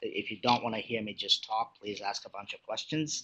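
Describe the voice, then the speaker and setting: This is a man talking. His pitch sits in the medium range. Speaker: utility executive. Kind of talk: lecture. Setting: webinar. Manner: fast.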